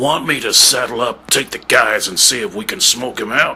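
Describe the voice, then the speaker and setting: A man puts on a raspy character voice at a medium pitch. He speaks at a moderate pace. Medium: audio drama. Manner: folksy western drawl.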